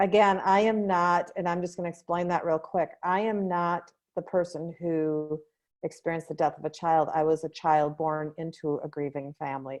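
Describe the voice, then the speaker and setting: A woman with an ordinary speaking voice, fairly low in pitch, at a moderate pace with fairly even intonation and a quiet background. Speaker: grief coach. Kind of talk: interview outro.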